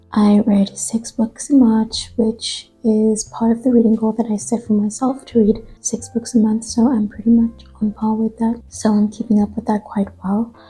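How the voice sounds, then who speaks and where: Speech moves at a moderate pace with hardly any pauses. Music plays in the background. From South Africa. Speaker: book vlogger. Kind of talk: casual book review vlog.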